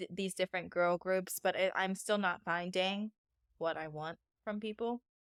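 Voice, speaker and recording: A woman at a medium pitch and moderate pace, fairly even in intonation, in a dry, close sound with no echo and a very clean recording with a silent background. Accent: Pennsylvania. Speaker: podcast co-host. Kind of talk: casual chat.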